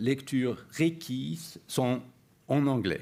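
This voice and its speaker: In a very clean recording with a silent background, a man with a non-native accent and medium pitch speaks at a very slow pace. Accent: non-native French, imperfect. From Sweden. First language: Swedish (speaking French). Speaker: university professor. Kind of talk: lecture. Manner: halting, many hesitations.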